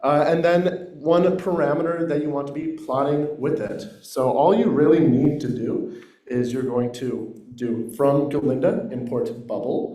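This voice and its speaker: With audible room echo and noticeable background noise, a man with a fairly high pitch speaks at a fairly slow pace with ordinary pitch variation. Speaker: workshop participant presenting a software tool. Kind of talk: short project presentation. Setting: workshop room with microphone, also on Zoom. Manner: loud.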